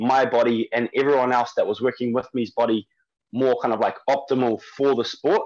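Moderate speed and fairly even intonation from a man. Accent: New Zealand. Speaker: strength and conditioning coach. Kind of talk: interview. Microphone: internet connection dropped out.

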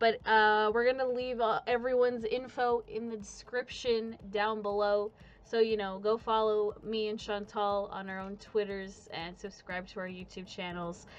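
She speaks at a moderate pace with hardly any pauses, with a fairly high pitch and ordinary pitch variation. It is a normal speaking voice of a woman. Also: big swings in loudness. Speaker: podcast host. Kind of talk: casual chat. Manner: casual, filler-heavy.

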